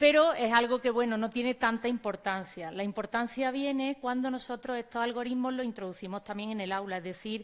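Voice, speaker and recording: With an Andalusian accent, a woman talks at a fairly quick pace, her fairly high pitch showing ordinary variation. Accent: Andalusian (Córdoba), noticeable. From Spain, Córdoba (Andalusia). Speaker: teacher and conference speaker. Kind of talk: conference talk.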